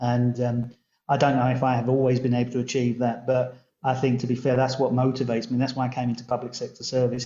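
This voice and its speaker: With a southern English accent, a man rattles along at a very fast pace in a monotone, flat intonation. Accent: southern English twang. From southern England (London). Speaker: local government chief executive. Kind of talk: podcast interview.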